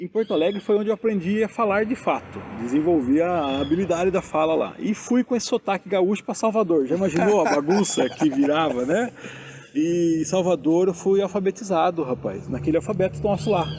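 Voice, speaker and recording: A man with a high pitch speaks at a fairly quick pace with ordinary pitch variation. Noticeable background noise runs underneath. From interior of São Paulo state, Brazil. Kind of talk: interview. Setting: outdoors in a town square.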